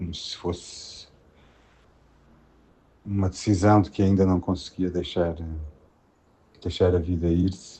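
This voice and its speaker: This man has a very deep, low pitch and a somewhat breathy voice. He talks at a fairly slow pace in a monotone, flat intonation. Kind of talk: personal testimony about a loved one's death. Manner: hesitant, reflective.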